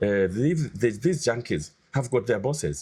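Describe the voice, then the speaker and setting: Speaking at a medium pitch with vocal fry, a man swings his pitch very widely. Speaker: parliamentary candidate. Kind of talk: interview. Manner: loud; forceful.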